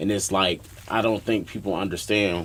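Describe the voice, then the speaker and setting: A man's fairly low voice at a moderate pace, fairly even in intonation, with noticeable background noise. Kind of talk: casual chat.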